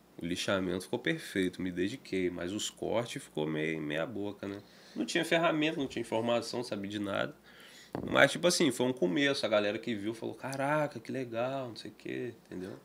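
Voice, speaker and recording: A man with a medium pitch shows vocal fry and very wide pitch swings. Light background noise can be heard. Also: fairly quick pace. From Brazil, Campos (Rio de Janeiro state); Rio de Janeiro state, Brazil. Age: 20s. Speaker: guitar maker; podcast guest. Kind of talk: casual interview chat. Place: studio. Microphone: studio mic.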